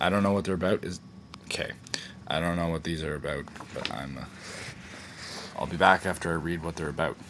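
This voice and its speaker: Noticeable background noise accompanies a man with a very deep, low pitch and fairly even intonation. He talks at a very fast pace but with long, frequent pauses. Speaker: video blogger doing experiments. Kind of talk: casual vlog monologue. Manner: halting.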